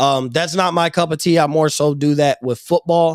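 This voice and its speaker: Heard in a very clean recording with a silent background, a plain, everyday voice speaks at a moderate pace with ordinary pitch variation. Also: man. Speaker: sports podcast host. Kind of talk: casual chat. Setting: live stream.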